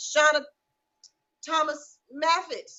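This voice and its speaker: Speaking with an American accent, a woman talks here. Her pitch is high. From US South. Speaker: natural hair salon owner and host. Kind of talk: live-stream Q&A. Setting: salon.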